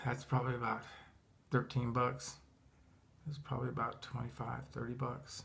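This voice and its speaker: A man speaks at a medium pitch and a moderate pace, with vocal fry. His intonation is monotone and flat, broken by long, frequent pauses. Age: 60s. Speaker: retired coach, firearms carrier. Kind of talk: casual talk to camera. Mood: amused, relaxed. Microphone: phone near.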